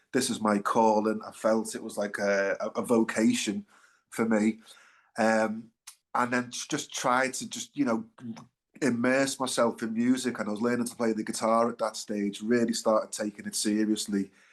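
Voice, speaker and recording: A man with a Liverpool accent, monotone and flat, against a quiet background. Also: medium pitch for a man, moderate pace. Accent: Liverpool (Scouse). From Liverpool, England. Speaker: singer-songwriter, band frontman. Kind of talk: interview, casual chat. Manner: hesitant, many fillers.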